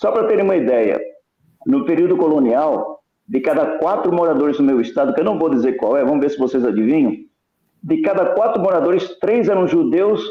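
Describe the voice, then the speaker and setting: His pitch ranges very widely. The man's voice sits high in pitch. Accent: São Paulo. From Brazil, São Paulo. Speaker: Bible prophecy speaker. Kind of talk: online discussion / talk. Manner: halting, self-correcting.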